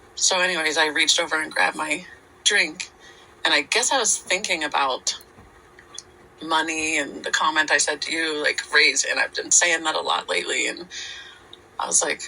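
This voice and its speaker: Noticeable background noise accompanies speech at a moderate speed. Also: woman. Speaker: podcast co-host. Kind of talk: casual chat. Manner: halting.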